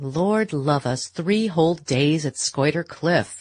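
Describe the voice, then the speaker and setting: A put-on character voice at middle pitch and a fairly slow pace, over a quiet background. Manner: sneering.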